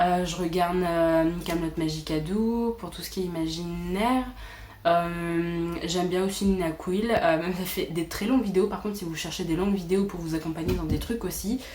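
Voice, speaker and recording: A woman's fairly low voice with fairly even intonation at a moderate pace, amid noticeable background noise and audible room echo. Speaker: booktuber. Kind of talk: casual chat.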